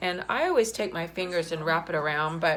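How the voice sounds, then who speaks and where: This woman has a plain, everyday voice. She speaks at a moderate pace with ordinary pitch variation. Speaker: art teacher. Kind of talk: tutorial.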